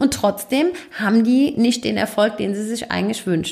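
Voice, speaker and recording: A woman talks with lively intonation. She has a Hessian accent. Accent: Hessian dialect, noticeable. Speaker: podcast host and business coach. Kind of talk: solo podcast monologue. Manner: casual, chatty.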